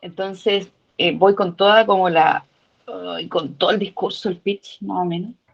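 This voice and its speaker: Speaking at a fairly slow pace, a woman talks in a Chilean accent. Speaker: workshop participant. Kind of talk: casual comment in online class.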